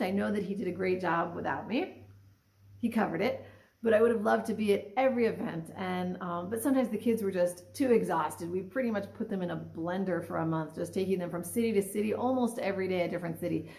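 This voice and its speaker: A woman's somewhat breathy, medium-pitched voice at a very fast pace, with ordinary pitch variation. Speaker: Torah study participant. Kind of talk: religious teaching discussion. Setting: video call.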